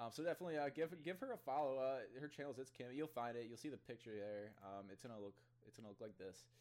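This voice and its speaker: Very fast speech with a Midwestern American accent and big swings in loudness. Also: man, medium pitch for a man, lively intonation. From US Midwest (Ottawa, Illinois). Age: 20s. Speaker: gaming streamer and podcast host. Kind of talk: casual chat. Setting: call.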